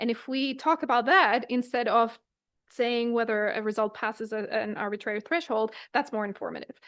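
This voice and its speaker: Against a quiet background, a woman talks at a fairly quick pace. Her fairly high voice shows ordinary pitch variation. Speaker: lecturer. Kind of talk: lecture. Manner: fast.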